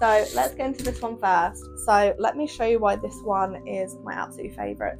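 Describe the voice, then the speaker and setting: A woman's words come fairly quickly. Music is playing behind her. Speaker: bridal hairstylist. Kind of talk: casual product review to camera.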